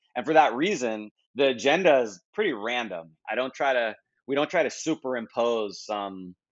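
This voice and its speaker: Using a plain, everyday voice, a man with an American accent talks at a moderate pace, his pitch medium and his intonation lively. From United States. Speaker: marketing conference founder. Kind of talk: podcast interview. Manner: casual, with many fillers and restarts.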